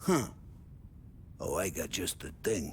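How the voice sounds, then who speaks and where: A man's raspy, put-on character voice over clear background noise. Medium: video game. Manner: loud, joking.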